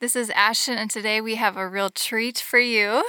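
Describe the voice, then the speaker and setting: A woman's fairly high, bright, sharp voice at a moderate pace, fairly even in intonation, dry and close with no echo. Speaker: podcast host. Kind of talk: casual interview.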